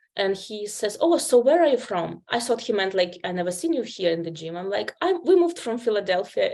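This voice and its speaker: A woman with a Ukrainian accent speaks at a fairly quick pace. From Ukraine. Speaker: healthcare interpreter. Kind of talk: interview.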